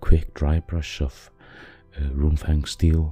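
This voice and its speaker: A man's very deep, low voice with a non-native accent, flat monotone delivery, a very slow pace and music in the background. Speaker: miniature painter. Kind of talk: painting tutorial narration.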